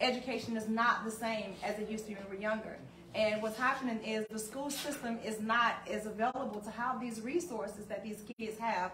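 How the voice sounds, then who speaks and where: Speaking with a Southern US accent, a woman talks at a fairly quick pace with hardly any pauses, a fairly high pitch and fairly even intonation. Room echo is audible, along with light background noise. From US South. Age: 40s. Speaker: community advocate. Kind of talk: community panel discussion. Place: shop. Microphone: camera far.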